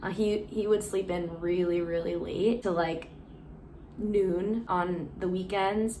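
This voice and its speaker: A woman speaks at a fairly slow pace in a medium pitch, her intonation monotone and flat. Room echo is audible. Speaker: personal vlogger sharing abuse experience. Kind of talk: testimony. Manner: casual with frequent fillers.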